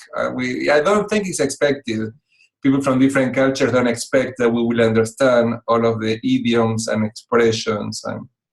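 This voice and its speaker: This man has a strong Spanish accent and a medium pitch. He talks at a moderate pace with ordinary pitch variation. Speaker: executive coach. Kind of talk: talk to online club. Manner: hesitant with fillers.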